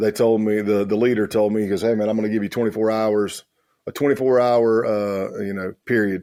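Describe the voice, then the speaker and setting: At a fairly quick pace, a man with a rural Southern US accent speaks in a dark, mellow tone with a fairly low pitch. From South Carolina. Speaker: former undercover law enforcement officer. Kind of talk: interview storytelling. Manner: animated.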